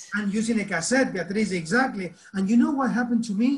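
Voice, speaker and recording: The speaker talks at a moderate pace with an Argentine accent. Pitch varies in an ordinary way. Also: man. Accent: Argentinian. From Argentina. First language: Spanish. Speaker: teacher trainer. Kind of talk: online workshop talk.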